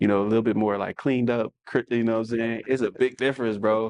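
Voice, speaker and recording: Talking at a fairly quick pace with hardly any pauses, a medium-pitched man in a New Orleans accent keeps a monotone, flat intonation, and the sound is dry and close with no echo. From New Orleans, US South. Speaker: podcast co-host, fashion stylist. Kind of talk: casual chat.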